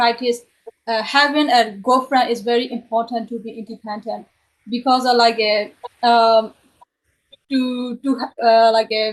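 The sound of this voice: A woman speaks at a fairly high pitch. Her pace is moderate and her intonation fairly even.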